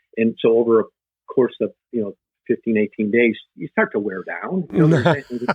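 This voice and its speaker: In an unremarkable speaking voice, a man talks at a moderate pace and medium pitch with lively intonation. The sound is dry and close, with no echo. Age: 60s. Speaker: life coach. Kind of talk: casual chat.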